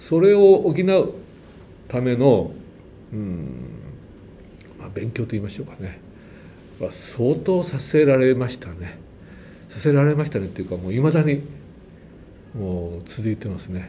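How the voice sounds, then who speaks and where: The voice is somewhat breathy and dark and mellow in tone, moving at a moderate pace with long, frequent pauses. Pitch swings very widely, loudness rises and falls sharply, and the room echo is audible. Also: man, medium pitch for a man. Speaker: church choir conductor. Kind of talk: testimony. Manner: casual.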